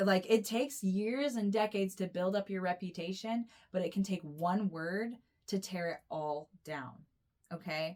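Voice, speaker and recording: A woman with an American accent in an ordinary speaking voice, medium in pitch, with ordinary pitch variation and a moderate pace. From United States. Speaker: tarot reader and astrologer. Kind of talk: intuitive tarot reading. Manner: casual, rambling with many fillers.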